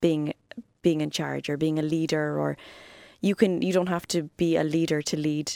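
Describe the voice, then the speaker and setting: Speaking in a Cork accent, a woman with a very deep, low pitch keeps a monotone, flat intonation at a moderate pace, in a very clean, dry, close recording with a silent background and no echo. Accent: Cork Irish. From Ireland, Cork. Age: 30s. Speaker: fitness trainer. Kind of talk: casual chat. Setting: studio.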